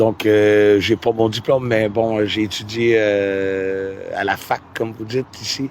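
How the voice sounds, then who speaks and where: A man speaks very slowly in a Quebec accent. His fairly low voice stays monotone and flat. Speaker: musician. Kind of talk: interview. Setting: outdoors by a river. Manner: hesitant, many fillers.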